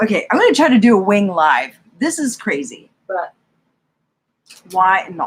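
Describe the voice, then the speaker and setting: A woman speaks at a medium pitch with very wide pitch swings and a somewhat breathy sound. Her pace is fairly slow, broken by long, frequent pauses. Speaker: beauty YouTuber doing a livestream. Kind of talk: live makeup review and chat. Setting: livestream at home. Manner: animated, excited; quiet at times.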